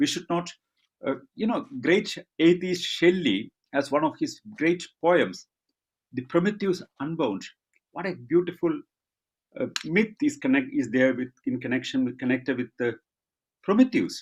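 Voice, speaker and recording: With a Keralan accent, a high-pitched man speaks fairly slowly, with very wide pitch swings and long, frequent pauses. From India, Kerala. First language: Malayalam. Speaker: rationalist speaker. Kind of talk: online Q&A answers. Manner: halting with fillers.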